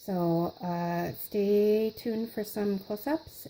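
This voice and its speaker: She is soft-spoken, with a dark, mellow tone. The woman's intonation is lively. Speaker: craft tutorial host. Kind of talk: tutorial.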